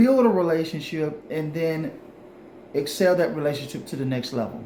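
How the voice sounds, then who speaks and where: A man speaks at a fairly high pitch in an animated tone. Audible room echo carries his voice. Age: 40s. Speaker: relationship advice vlogger. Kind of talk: casual monologue to camera.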